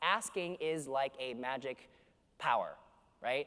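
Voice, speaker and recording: A man with a Canadian accent talks loudly in an energetic, animated tone, on a very clean recording with a silent background. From Canada, Vancouver. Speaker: keynote speaker. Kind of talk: conference keynote speech. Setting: stage with audience.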